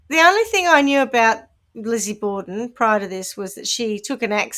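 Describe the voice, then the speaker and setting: Speech comes at a fairly quick pace in a New Zealand accent. The intonation is lively. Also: woman. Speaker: podcast co-host. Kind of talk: casual chat.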